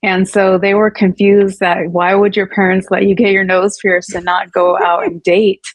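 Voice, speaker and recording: Talking at a moderate pace, a woman with a Californian accent keeps to a medium pitch. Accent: Californian American English. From Northern California, US, Punjabi family. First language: Punjabi. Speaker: abuse survivor telling her story. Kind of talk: interview testimony. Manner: hesitant, many fillers and restarts.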